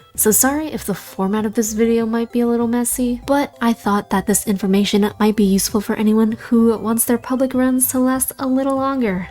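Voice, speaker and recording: A woman's fairly high voice with a dark, mellow tone, fairly even intonation, a fairly quick pace and hardly any pauses. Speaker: gaming guide creator. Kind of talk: game guide voiceover.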